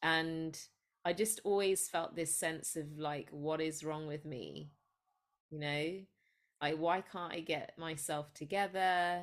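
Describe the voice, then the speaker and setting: A woman with an English accent speaks at a very slow pace, her pitch fairly low and her intonation fairly even. The recording is very clean, with a silent background. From England, Sri Lankan parents. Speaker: psychologist and spiritual coach. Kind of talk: casual interview.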